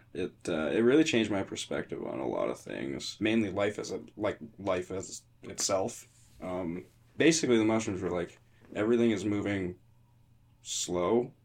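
The voice carries vocal fry along with lively intonation. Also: man, moderate pace. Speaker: guitarist and studio engineer. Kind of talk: casual chat.

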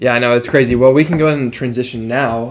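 Intonation remains fairly even here. The pace of an unremarkable speaking voice is fairly quick. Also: man. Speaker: podcast host, college student. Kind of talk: casual chat. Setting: home studio.

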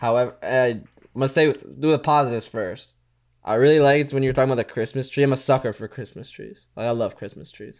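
A medium-pitched man at a very fast pace, with ordinary pitch variation and big swings in loudness. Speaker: podcast co-host. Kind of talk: casual chat.

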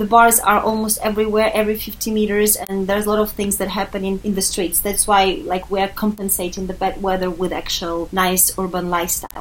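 A woman talks at a fairly quick pace with hardly any pauses, her medium-pitched voice monotone and flat over noticeable background noise. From Ukraine, Kyiv. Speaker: expat living in Paris. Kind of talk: casual chat.

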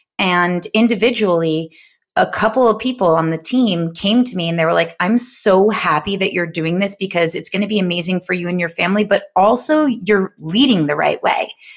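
A normal speaking voice from a woman with an American accent, moderate in pace and with hardly any pauses. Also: medium pitch for a woman, ordinary pitch variation. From New York. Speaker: podcast co-host, entrepreneur. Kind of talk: casual chat. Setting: studio, sharing one mic.

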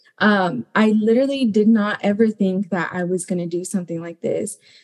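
A woman speaks with an American accent at a medium pitch. Her voice is somewhat breathy, with fairly even intonation. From US, Mexican American family. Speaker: graduate student, former Peace Corps teacher. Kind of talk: panel discussion.

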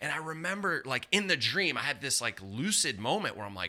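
A bright, sharp tone with vocal fry, very wide pitch swings and a fairly quick pace. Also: man. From southwestern Pennsylvania, near Pittsburgh. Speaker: pastor. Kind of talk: interview testimony.

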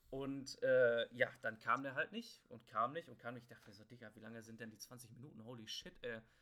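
A man's medium-pitched, bright, sharp voice at a fairly quick pace, fairly even in intonation, with big swings in loudness. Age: 20s. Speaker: podcast host, student. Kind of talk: casual chat. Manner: halting, many filler words.

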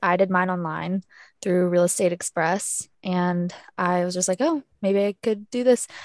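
A woman with a plain, everyday voice speaks at a moderate pace and medium pitch with ordinary pitch variation, the sound dry and close with no echo and the background quiet. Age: young. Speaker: podcast co-host, real estate agent and student. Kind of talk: casual chat.

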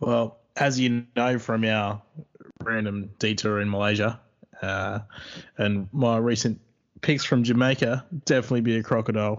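With an Australian accent, a man talks at a medium pitch in a monotone, flat delivery. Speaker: podcast co-host. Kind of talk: casual chat.

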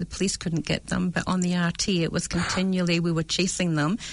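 Speaking in a Scottish accent, a woman has a medium pitch. Her pace is moderate and her intonation monotone and flat. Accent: Scottish, noticeable. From Scotland, Dundee. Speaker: real estate agent and manager. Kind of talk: casual interview chat. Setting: studio.

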